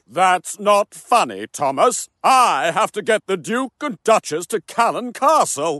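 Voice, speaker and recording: A man uses a put-on character voice with a high pitch. He talks at a fairly slow pace. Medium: audio drama. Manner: proud, showy.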